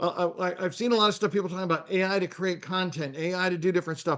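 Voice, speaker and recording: A man with a high voice and ordinary pitch variation. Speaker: marketing presenter. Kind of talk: webinar presentation. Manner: fast.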